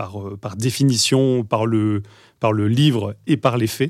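Over a silent background in a very clean recording, a man talks at a fairly slow pace with a medium pitch and fairly even intonation. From western France, Deux-Sèvres and Bordeaux. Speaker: tech product executive. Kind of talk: podcast interview. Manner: hesitant with many fillers and repetitions.

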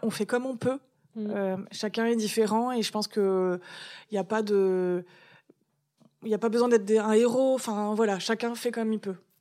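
On a very clean recording with a silent background, a woman with a fairly high pitch and a dark, mellow tone talks at a moderate pace in a monotone, flat intonation. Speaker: comic book author and cancer survivor. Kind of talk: interview testimony.

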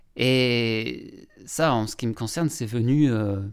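Speaking very slowly at a medium pitch, a man shows ordinary pitch variation on a very clean recording with a silent background. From Lorraine, France (Longwy area). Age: young. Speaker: documentary filmmaker. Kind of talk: interview. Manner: halting, many repetitions and hesitations.

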